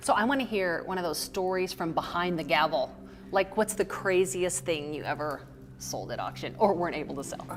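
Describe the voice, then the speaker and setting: A woman speaks at a fairly quick pace in a fairly low voice. Music plays in the background. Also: ordinary pitch variation. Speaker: event interviewer. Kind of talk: interview question.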